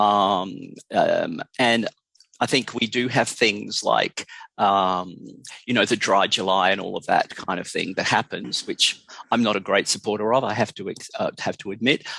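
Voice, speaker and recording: A man speaks at a moderate pace with an Australian accent. The sound is dry and close with no echo, against a quiet background. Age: 60s. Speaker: drug education expert. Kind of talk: interview. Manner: halting.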